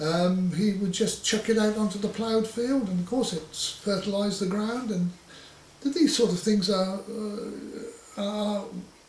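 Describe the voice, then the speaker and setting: A man with a high voice speaks at a fairly slow pace, his pitch varying in an ordinary way. Noticeable background noise runs under him. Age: 60s. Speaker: butcher. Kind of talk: oral history interview. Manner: halting with frequent stammers and fillers.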